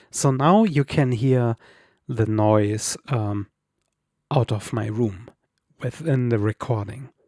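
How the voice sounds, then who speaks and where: On a very clean recording with a silent background, a man speaks at a very slow pace with ordinary pitch variation. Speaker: streamer. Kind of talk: tutorial. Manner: halting.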